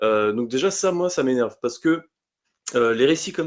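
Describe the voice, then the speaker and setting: A man with an unremarkable speaking voice, medium in pitch, ordinary pitch variation, on a very clean recording with a silent background. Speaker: comics reviewer. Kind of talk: podcast review discussion.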